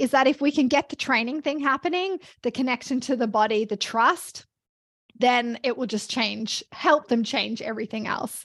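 A woman with an Australian accent at a high pitch, with ordinary pitch variation and a moderate pace, in a dry, close sound with no echo on a very clean recording with a silent background. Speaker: fitness coach and business founder. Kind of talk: casual interview conversation.

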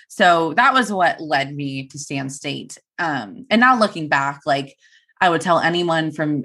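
With an American accent, a woman talks fairly slowly in a very deep, low pitch. The background is quiet. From Turlock, California (Central Valley). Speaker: news reporter. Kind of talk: casual interview chat. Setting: video call.

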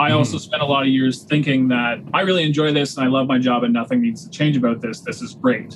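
Noticeable background noise surrounds a man with a Canadian accent whose medium-pitched voice shows ordinary pitch variation. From Ontario, Canada (Waterloo Region). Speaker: chef and butcher. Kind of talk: casual interview chat.

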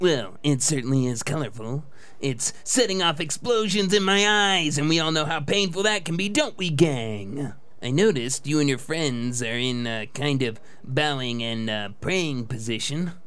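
Noticeable background noise behind a man with a fairly high pitch speaking at a moderate pace. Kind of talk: cheesy broadcast patter. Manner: chirpy, jokey.

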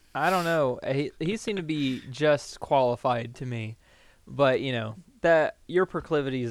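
A plain, everyday voice from a man, medium in pitch, with ordinary pitch variation, a moderate pace and a very clean recording over a silent background. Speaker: podcast co-host. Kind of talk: casual chat.

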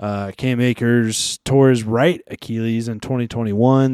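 On a very clean recording with a silent background, a man with a medium-pitched, dark, mellow voice speaks with fairly even intonation. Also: dry, close sound with no echo. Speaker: fantasy football podcast host. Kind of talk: casual banter podcast.

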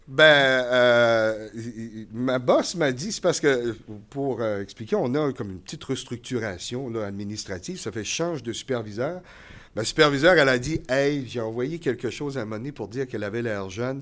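A man with an unremarkable speaking voice, medium in pitch, at a moderate pace with ordinary pitch variation, on a very clean recording with a silent background. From New Brunswick, Canada. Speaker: college communications teacher. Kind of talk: live podcast interview before audience. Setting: stage with audience.

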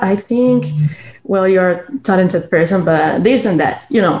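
A woman with a Cuban accent. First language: Spanish. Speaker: blind community member. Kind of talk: interview.

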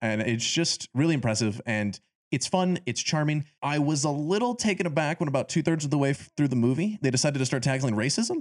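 An ordinary speaking voice from a man, fairly high in pitch, fairly quick with hardly any pauses, with lively intonation, very even loudness, and a dry, close sound with no echo. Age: 20s. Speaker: film podcast host. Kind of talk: casual chat.

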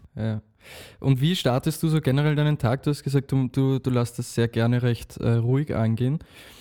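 A man with an Austrian accent, dark and mellow in tone, with fairly even intonation and a dry, close sound on a very clean recording with a silent background. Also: medium pitch for a man, moderate pace. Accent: Austrian pronunciation. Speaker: podcast host. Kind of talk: casual interview.

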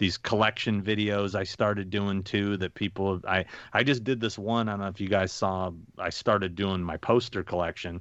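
In a normal speaking voice, a man talks fairly quickly at a fairly low pitch with fairly even intonation, over a quiet background. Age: 50s. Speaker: convention agent and horror show host. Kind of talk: casual chat.

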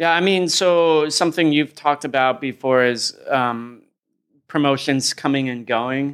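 On a very clean recording with a silent background, a man with a plain, everyday voice and an American accent speaks at a fairly slow pace, with fairly high pitch and ordinary pitch variation. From US, upstate New York and Oakland. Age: 30s. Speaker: fight commentator and former fighter. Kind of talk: casual interview chat.

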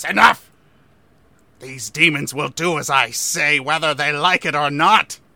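At a moderate pace, a man uses a put-on character voice with a fairly high pitch. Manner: imperious, shouting commands.

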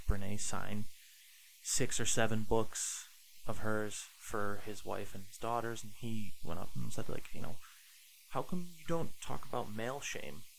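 A man's fairly low voice, an ordinary speaking voice, with lively intonation at a fairly slow pace. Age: 30s. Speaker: dog trainer. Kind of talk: casual chat.

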